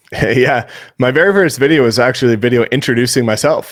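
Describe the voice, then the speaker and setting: Speaking at a fairly quick pace, a man with a Canadian accent uses a medium pitch in a very clean recording with a silent background. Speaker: real estate agent and keynote speaker. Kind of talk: keynote Q&A. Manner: fast.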